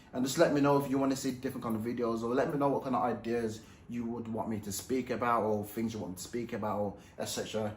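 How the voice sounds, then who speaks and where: A man at medium pitch, talking at a very fast pace, with audible room echo and noticeable background noise. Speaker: professional boxer and YouTuber. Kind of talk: casual vlog commentary. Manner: animated; mumbling.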